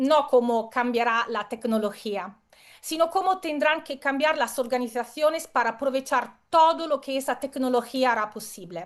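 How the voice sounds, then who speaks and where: A woman with an Italian accent talks at a moderate pace in a high pitch, with ordinary pitch variation. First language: Italian (speaking Spanish). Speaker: keynote speaker. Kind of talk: conference talk. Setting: video call.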